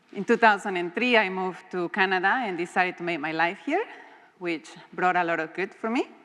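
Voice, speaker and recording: A woman speaks in a Mexican accent at a medium pitch. Her pace is fairly quick and her intonation fairly even. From Mexico. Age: young. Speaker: guest speaker. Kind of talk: talk to an audience.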